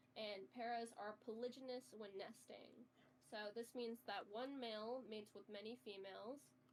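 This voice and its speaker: The intonation is lively and the pace moderate. There is noticeable background noise. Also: woman. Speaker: game roleplay guide. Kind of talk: tutorial.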